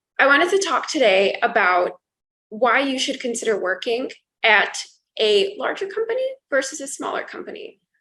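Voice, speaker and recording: This woman's raised, projected voice sits high in pitch, with a bright, sharp tone and very wide swings up and down. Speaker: product manager and career advice YouTuber. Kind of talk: casual talk to camera.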